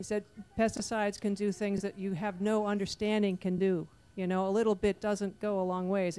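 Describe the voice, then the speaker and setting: A woman talks at a moderate pace in a medium pitch. Her tone is dark and mellow. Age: 60s. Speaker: health practitioner on panel. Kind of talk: panel discussion.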